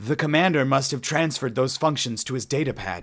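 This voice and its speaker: Using a put-on character voice at medium pitch, a man talks at a fairly quick pace in a very clean recording with a silent background. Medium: read story. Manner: nervous.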